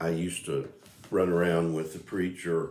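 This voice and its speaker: A man's very deep, low voice, relaxed in tone, with fairly even intonation. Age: 60s. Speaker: video blogger. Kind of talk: casual monologue. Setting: home music room. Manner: relaxed, hesitant with fillers.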